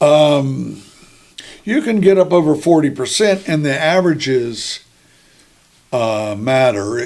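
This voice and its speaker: With noticeable background noise, a man in an American accent speaks at a very slow pace and a fairly high pitch, with lively intonation and long, frequent pauses. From western Virginia. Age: 70s. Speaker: sports author. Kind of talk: interview. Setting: podcast.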